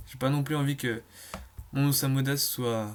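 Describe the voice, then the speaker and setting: Fairly even intonation marks a man's voice at a medium pitch. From Brittany, France. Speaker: gaming YouTuber. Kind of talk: gameplay commentary. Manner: fast; hesitant, many fillers.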